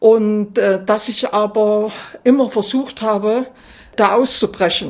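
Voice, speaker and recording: A woman's fairly high voice unfolds very slowly. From Thuringia, eastern Germany (Altenburg area). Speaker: former school principal and politician. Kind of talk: interview testimony. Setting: at her home. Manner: halting with fillers.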